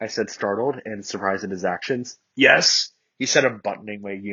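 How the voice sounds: Over a quiet background, a natural reading voice moves with ordinary pitch variation.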